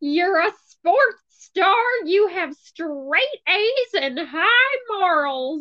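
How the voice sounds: In a put-on character voice, a woman speaks at an extremely high pitch. Her pace is very slow.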